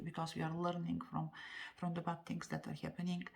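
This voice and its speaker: This woman's fairly low, somewhat breathy voice comes with a non-native accent. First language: not English. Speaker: tarot card reader. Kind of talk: tarot reading monologue. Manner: halting, many fillers.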